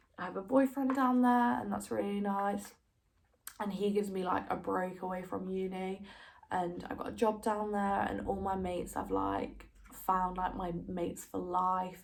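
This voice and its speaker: A woman talks at a moderate pace with ordinary pitch variation, and some room echo can be heard. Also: medium pitch for a woman. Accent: Derby. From East Midlands, England (Derby). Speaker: university student vlogger. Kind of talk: casual vlog chat. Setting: home recording during quarantine. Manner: casual, filler-heavy.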